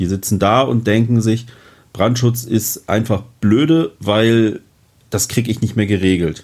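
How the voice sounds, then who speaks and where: A man with a plain, everyday voice, medium pitch, ordinary pitch variation, very even loudness and a fairly slow pace. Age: 40s. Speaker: fire protection manager. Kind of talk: interview.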